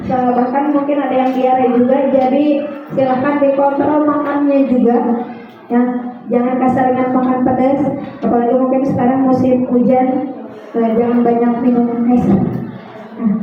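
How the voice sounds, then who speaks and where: A woman's high voice holds a monotone, flat intonation at very even loudness. Noticeable background noise and audible room echo surround her. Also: moderate pace. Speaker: math teacher. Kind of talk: classroom lesson. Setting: classroom with loudspeaker.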